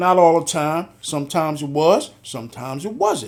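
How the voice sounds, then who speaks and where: A man's high-pitched voice at a moderate pace. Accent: American. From Philadelphia, US Northeast. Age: 60s. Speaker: podcast host, retired police officer. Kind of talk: interview conversation.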